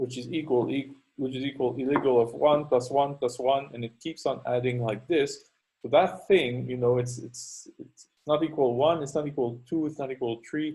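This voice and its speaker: A man speaks in a French Canadian accent at a moderate pace, his pitch medium. His voice is somewhat breathy, with fairly even intonation. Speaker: university lecturer. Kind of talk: lecture. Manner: halting, many fillers.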